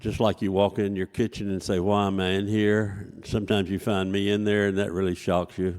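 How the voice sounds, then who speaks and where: At a fairly quick pace with hardly any pauses, a man talks in a fairly low pitch with monotone, flat intonation. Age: 80s+. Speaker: amateur comedian. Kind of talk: stand-up.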